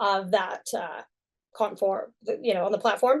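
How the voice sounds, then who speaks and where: With an American accent, a woman speaks at a medium pitch. Her pace is moderate, and the background is quiet. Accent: American, unchanged after a decade in UK. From US (Texas). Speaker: sign language interpreter. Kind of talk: conference talk.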